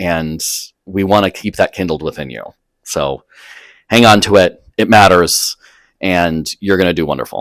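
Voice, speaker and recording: With long, frequent pauses, vocal fry and ordinary pitch variation, the voice comes through a very clean recording with a silent background and a dry, close sound with no echo. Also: man, very deep, low pitch for a man. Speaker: associate dean of undergraduate education. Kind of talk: recorded orientation talk. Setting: recorded video. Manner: fast; animated.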